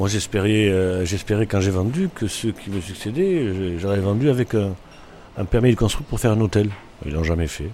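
At a moderate pace, a man speaks at a fairly low pitch with ordinary pitch variation. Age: 60s. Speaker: restaurant owner. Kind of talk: casual interview. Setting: in a bar. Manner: halting.

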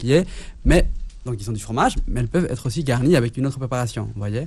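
A man's very fast speech at a medium pitch, with vocal fry and ordinary pitch variation. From Mexico City. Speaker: chef. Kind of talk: casual chat.

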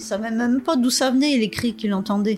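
A woman speaks with a fairly high pitch and lively intonation. There is noticeable background noise. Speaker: victim's daughter. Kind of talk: testimony, interview.

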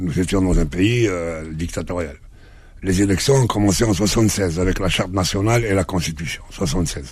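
Through audible room echo, a man with a very deep, low pitch talks at a fairly slow pace, somewhat breathy and with ordinary pitch variation. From Algeria, Kabylie village then Algiers. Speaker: journalist and actor. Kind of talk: radio interview.

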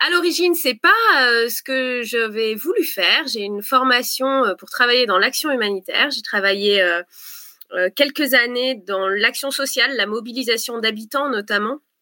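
Her tone bright and sharp, a woman speaks at high pitch and a fairly slow pace, with ordinary pitch variation and big swings in loudness. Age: 30s. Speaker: presidential candidate. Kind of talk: political interview.

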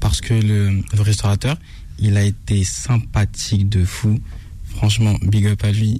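Very slow and very even in loudness, a man talks at a fairly low pitch with fairly even intonation amid noticeable background noise. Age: old. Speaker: food influencer. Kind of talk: restaurant review.

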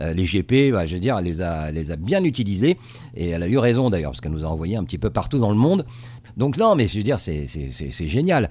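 A man's very deep, low voice with vocal fry, very wide pitch swings and a fairly quick pace. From Tunisia. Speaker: TV correspondent. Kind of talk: interview. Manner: halting.

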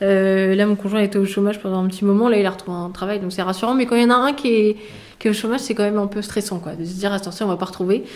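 A woman at medium pitch, talking at a very fast pace with fairly even intonation. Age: 20s. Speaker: recruiter. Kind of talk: interview.

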